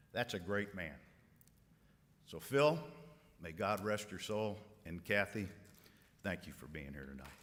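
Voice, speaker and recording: A man with vocal fry speaks at a fairly slow pace and fairly low pitch, with lively intonation. His loudness swings widely, and he takes long, frequent pauses. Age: 50s. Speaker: company executive and event speaker. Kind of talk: dinner speech. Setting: banquet room with audience.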